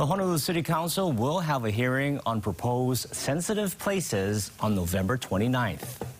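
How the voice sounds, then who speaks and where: With noticeable background noise, this voice moves at a moderate pace with hardly any pauses, keeps its loudness very even, and swings very widely in pitch. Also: man, medium pitch for a man. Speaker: news anchor. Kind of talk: news reading. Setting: studio.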